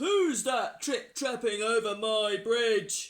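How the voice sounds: Bellowing in a put-on character voice, a man speaks at a very slow pace with an extremely high pitch.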